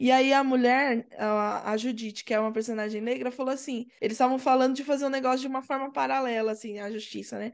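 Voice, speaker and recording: Very fast speech from a woman, pitched high, with ordinary pitch variation. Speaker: podcast guest. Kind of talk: casual chat.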